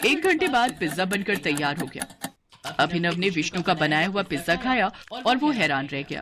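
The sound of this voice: A woman's fairly low pitch with big pitch swings and a fairly bright tone. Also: moderate pace.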